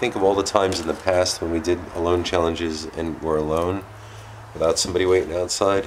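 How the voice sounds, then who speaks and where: A man talks at a very fast pace with a very deep, low pitch and monotone, flat intonation. Light background noise sits behind him. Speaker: paranormal explorer vlogger. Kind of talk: casual vlog chat. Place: home room. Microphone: phone near.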